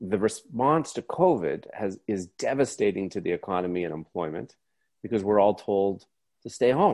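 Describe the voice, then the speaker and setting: A plain, everyday voice at a moderate pace, with a quiet background. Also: man, fairly low pitch for a man, lively intonation. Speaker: author and economist. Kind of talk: interview. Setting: video call.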